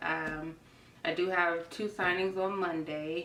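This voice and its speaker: In a room with audible echo and noticeable background noise, a woman with a fairly low voice speaks at a fairly slow pace. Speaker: notary signing agent. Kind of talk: tutorial. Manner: casual, with frequent fillers.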